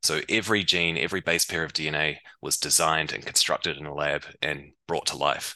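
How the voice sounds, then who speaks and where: With a New Zealand accent, the voice has a bright, sharp tone, fairly even intonation and hardly any pauses. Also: man, very deep, low pitch for a man, fairly quick pace. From New Zealand, Waikato. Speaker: biotech startup founder and scientist. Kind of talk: interview.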